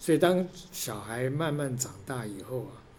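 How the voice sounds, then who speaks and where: At a very slow pace, a man speaks at a medium pitch amid audible room echo. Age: 60s. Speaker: father of a college freshman, securities industry worker. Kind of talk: interview. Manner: halting.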